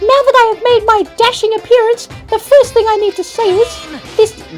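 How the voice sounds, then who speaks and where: Over clear music in the background, an extremely high-pitched put-on character voice speaks at a moderate pace. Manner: pompous, theatrical.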